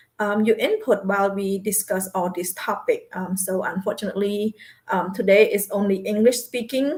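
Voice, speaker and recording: A woman talks in a somewhat breathy voice. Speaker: talk show host. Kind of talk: casual talk show. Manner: hesitant, many fillers.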